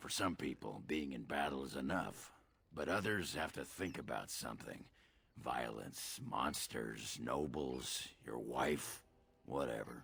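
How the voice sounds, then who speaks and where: A man puts on a raspy character voice, very deep and low-pitched, speaking at a fairly slow pace. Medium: video game. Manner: gruff, crude, boisterous.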